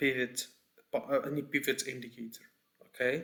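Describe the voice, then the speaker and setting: With a non-native accent, a man of medium pitch talks at a moderate pace, his intonation fairly even and his tone bright and sharp. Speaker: trading educator. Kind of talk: tutorial. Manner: halting, many fillers and repeats.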